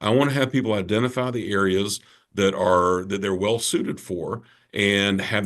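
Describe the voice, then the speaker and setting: With an American accent, a man speaks at a moderate pace and a fairly low pitch, using ordinary pitch variation over a quiet background. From Georgia, US South (Savannah). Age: 60s. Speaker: personal development speaker and author. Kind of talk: podcast interview. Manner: animated.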